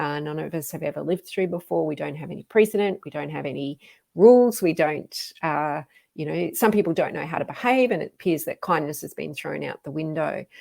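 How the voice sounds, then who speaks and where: A woman's very deep, low voice with vocal fry, lively intonation and big swings in loudness at a fairly quick pace, on a very clean recording with a silent background. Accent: Australian. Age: 50s. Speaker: fitness coach. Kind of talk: live stream talk. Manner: casual, with frequent fillers.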